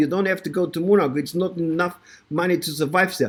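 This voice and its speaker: A man with a German accent speaks in an animated tone. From Germany, Bavaria (Ingolstadt, Munich). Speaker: network marketing presenter. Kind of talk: sales pitch. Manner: animated, repetitive with stumbles.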